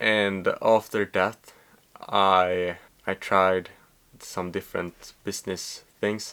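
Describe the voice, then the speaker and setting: In a very clean recording with a silent background, a man with a Swedish accent talks at a very deep, low pitch in a monotone, flat intonation. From Sweden. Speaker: vlogger. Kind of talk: casual monologue to camera. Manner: halting, many fillers.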